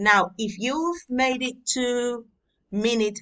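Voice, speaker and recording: A woman with a Catalan accent speaks in a bright, sharp tone. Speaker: Latin tutor. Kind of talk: tutorial. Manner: informal, conversational.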